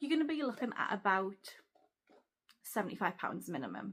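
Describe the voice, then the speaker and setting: This is a woman speaking. She has a Geordie accent. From Newcastle, North East England. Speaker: travel vlogger. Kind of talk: casual talk to camera.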